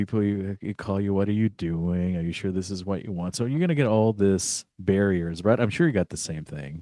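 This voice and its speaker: A man with a plain, everyday voice speaks at a moderate pace and a fairly low pitch, with ordinary pitch variation, on a very clean recording with a silent background. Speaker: podcast co-host, grad student. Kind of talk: casual chat.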